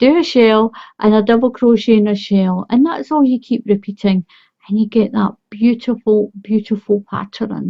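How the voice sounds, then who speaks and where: A somewhat breathy woman's voice in a Scottish accent, fairly high in pitch, with ordinary pitch variation and a moderate pace. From Scotland. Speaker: crochet tutorial creator. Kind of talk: tutorial. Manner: friendly, encouraging.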